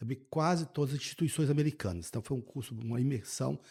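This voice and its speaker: A man's dark, mellow, somewhat breathy voice at a very fast pace, on a very clean recording with a silent background. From Brazil, interior of Minas Gerais. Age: 60s. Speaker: state finance secretary. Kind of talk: podcast interview. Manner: halting, repeats words.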